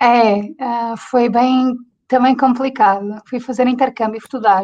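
Speaking in a European Portuguese accent, a woman with a high pitch and a dark, mellow tone keeps a monotone, flat intonation at a fairly slow pace. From Portugal. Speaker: interview guest. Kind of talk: interview answer. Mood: cheerful, smiling. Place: home room. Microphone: video call.

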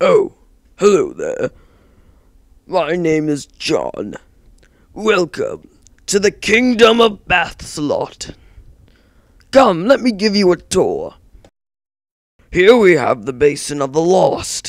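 In a cartoonish character voice, a man talks very slowly at a high pitch, with long, frequent pauses. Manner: upbeat, welcoming, tour-guide patter.

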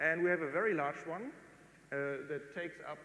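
Audible room echo surrounds a man with a German accent talking at a fairly quick pace. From northern Germany. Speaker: amateur rocket builder. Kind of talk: lecture. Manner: halting.

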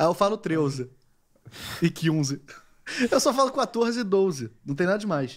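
A man with a high pitch and very wide pitch swings speaks with long, frequent pauses against a quiet background. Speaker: podcast co-host; podcast host. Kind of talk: casual chat. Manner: fast. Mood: amused, joking. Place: studio. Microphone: studio mic.

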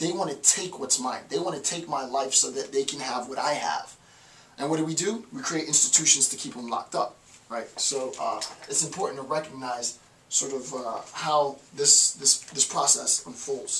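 With light background noise, a man talks at a moderate pace and ordinary pitch variation. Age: 30s. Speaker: professor. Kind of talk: lecture. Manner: halting. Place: home room. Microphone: camera far.

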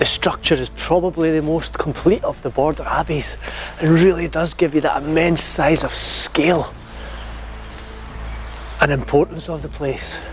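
A man with a Scottish accent at a moderate pace, long, frequent pauses, dry sound with no echo, and light background noise. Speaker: history presenter. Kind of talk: casual talk to camera.

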